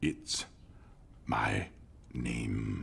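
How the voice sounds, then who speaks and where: A man puts on a character voice while clear background noise plays underneath. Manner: affected, pompous.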